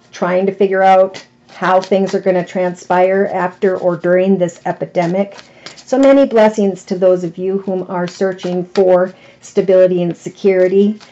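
A woman's monotone, flat delivery at a moderate pace. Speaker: tarot reader. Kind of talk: tarot reading monologue. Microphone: phone near.

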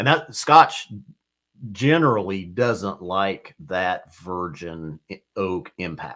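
A man's fairly low voice with very wide pitch swings, against a quiet background. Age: 50s. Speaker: whiskey society representative, reviewer; reviewer. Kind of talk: live stream casual chat. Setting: studio. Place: studio.

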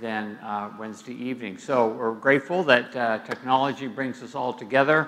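A man at a moderate pace, with big swings in loudness and ordinary pitch variation. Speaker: church teacher. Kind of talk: bible study lecture. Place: hall.

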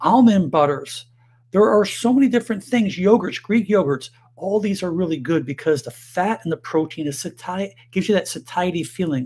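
A man at a moderate pace, with lively intonation. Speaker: health educator. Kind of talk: health advice monologue to camera. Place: home room.

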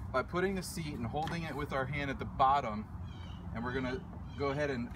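A man speaks at a fairly quick pace over noticeable background noise. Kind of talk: tutorial. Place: open country. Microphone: phone near.

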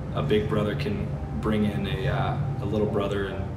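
There is music in the background. A man is speaking. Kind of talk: interview answer. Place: shop.

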